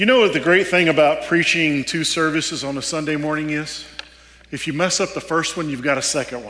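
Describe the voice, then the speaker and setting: Over noticeable background noise, a man speaks with a Texan accent at a fairly quick pace. His voice is fairly high, with ordinary pitch variation. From Texas. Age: 40s. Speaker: preacher, former army chaplain. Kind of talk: sermon. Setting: church service.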